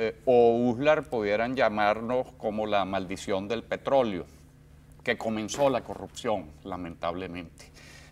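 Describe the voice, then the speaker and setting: Speaking at a fairly slow pace, a man uses a plain, everyday voice at medium pitch with ordinary pitch variation. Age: 60s. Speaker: journalist. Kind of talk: interview.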